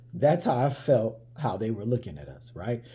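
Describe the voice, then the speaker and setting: A man with an American accent speaks at medium pitch. His tone is dark and mellow, and somewhat breathy. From United States. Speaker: vlogger telling travel stories. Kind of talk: casual storytelling monologue. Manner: conversational, with many fillers and repeats.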